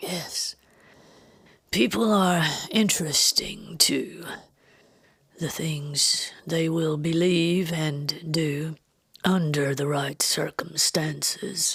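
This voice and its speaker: A raspy, put-on character voice speaks in a calm tone at a very slow pace, broken by long, frequent pauses. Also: woman, fairly low pitch for a woman. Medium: read story. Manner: calm, measured, mesmerizing.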